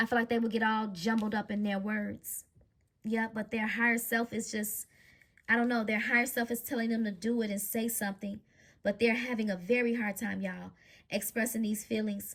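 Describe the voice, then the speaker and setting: This woman's voice sits fairly high and stays flat and monotone. She talks at a fairly quick pace. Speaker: tarot card reader. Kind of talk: psychic reading monologue. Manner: stutters at times; stumbling over words today.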